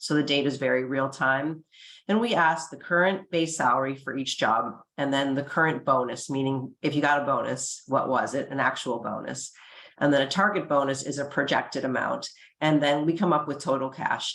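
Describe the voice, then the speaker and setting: A woman's very deep, low voice with ordinary pitch variation at a fairly quick pace. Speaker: compensation consultant presenting survey data. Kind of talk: webinar presentation. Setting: online webinar. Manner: fast.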